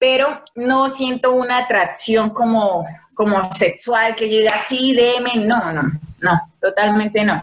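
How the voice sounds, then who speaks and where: Her fairly high voice moves at a very slow pace, with ordinary pitch variation and very even loudness throughout. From Colombia, Casanare (eastern plains). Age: 20s. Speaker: environmental engineer, dancer and model. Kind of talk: casual chat.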